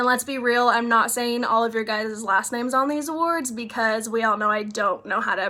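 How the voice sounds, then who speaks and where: Speaking at a moderate pace, a woman uses a plain, everyday voice with fairly high pitch and ordinary pitch variation. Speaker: fifth grade teacher. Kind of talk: recorded awards video for students. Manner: casual, chatty with fillers.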